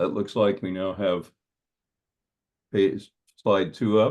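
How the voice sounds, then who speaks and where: A man's fairly low voice with vocal fry, very slow pace and ordinary pitch variation. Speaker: dark sky presenter. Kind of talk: presentation.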